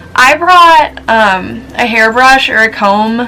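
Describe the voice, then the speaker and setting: A woman with a fairly high pitch, music in the background. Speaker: vlogger. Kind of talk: casual advice vlog. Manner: fast; chatty with many fillers.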